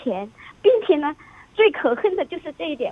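Very wide pitch swings at a fairly quick pace, with noticeable background noise. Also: woman. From Chongqing, China. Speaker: radio call-in listener. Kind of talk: personal account to an advice host.

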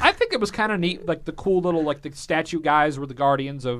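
A man with a normal speaking voice, lively intonation and a fairly quick pace. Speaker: podcast host. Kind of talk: casual chat. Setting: studio.

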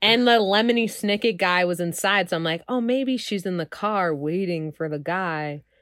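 With an American accent, a woman speaks in a plain, everyday voice at a medium pitch and moderate pace, with ordinary pitch variation and hardly any pauses. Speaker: comedian and director. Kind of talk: casual comedic banter.

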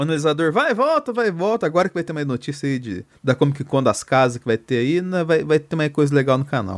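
Fairly high in pitch, a man speaks at a fairly quick pace with lively intonation and hardly any pauses. The recording is very clean and dry, with a silent background and a close sound with no echo. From Minas Gerais, Brazil. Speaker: podcast host. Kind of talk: casual chat.

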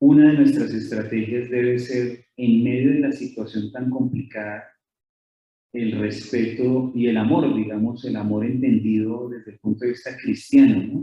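A man with a Colombian accent talks at a fairly slow pace, his medium pitch held in a monotone, flat line. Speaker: author and lecturer. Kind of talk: lecture. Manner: halting.

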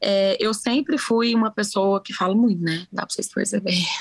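Her pitch sits in the middle range as a woman talks at a moderate pace with ordinary pitch variation. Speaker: podcast guest. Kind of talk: casual chat. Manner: talkative, animated.

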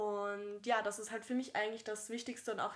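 Speaking at a fairly quick pace, a woman with a fairly high pitch and fairly even intonation has a plain, everyday voice. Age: 20s. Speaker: actress and podcast co-host. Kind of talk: casual chat.

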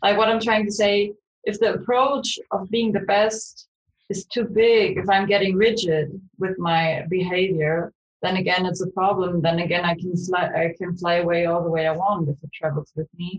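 A woman speaks at a moderate pace in a medium-pitched, somewhat breathy voice. Her pitch rises and falls in an ordinary way. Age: 20s. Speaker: student and startup co-founder. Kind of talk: interview.

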